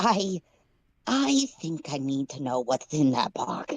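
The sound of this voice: A put-on character voice, strained, low-to-middle in pitch, at a fairly slow pace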